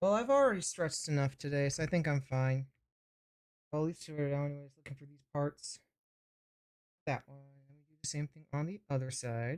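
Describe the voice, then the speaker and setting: The soft-spoken voice moves at a fairly quick pace, broken by long, frequent pauses. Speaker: vtuber streamer. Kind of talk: casual live stream while building a model kit.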